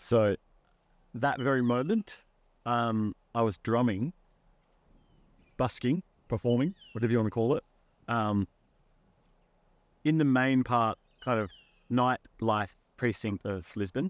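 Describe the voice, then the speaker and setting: With an Australian accent, a man talks in a relaxed tone with ordinary pitch variation and long, frequent pauses. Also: fairly slow pace, dry sound with no echo. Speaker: musician, busker. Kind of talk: interview answer. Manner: casual, relaxed. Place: garden.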